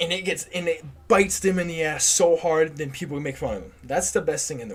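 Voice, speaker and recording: Speaking in an animated tone, a man's voice sits high in pitch. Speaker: hockey live streamer. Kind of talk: live game reaction stream. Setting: live stream. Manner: casual, animated.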